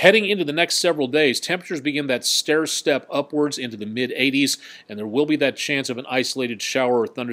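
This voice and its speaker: The speech comes at a fairly quick pace with an American accent. Pitch varies in an ordinary way. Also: man. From Colorado. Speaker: TV meteorologist. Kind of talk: live weather webcast with viewer comments. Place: studio.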